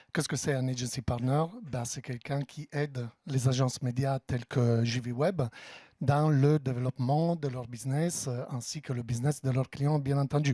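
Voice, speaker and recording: On a very clean recording with a silent background, a man with an Italian accent speaks at a moderate pace, his dark, mellow tone somewhat breathy. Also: medium pitch for a man, fairly even intonation, dry, close sound with no echo. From Italy. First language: Italian (speaking French). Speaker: tech company partner manager. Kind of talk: business presentation. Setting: office event with audience.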